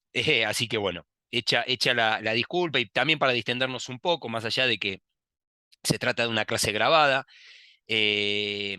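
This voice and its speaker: A man speaks at a medium pitch with a bright, sharp tone. The sound is dry and close with no echo, over a quiet background. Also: ordinary pitch variation, moderate pace. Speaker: university lecturer. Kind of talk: recorded lecture. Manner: hesitant, many fillers and repetitions.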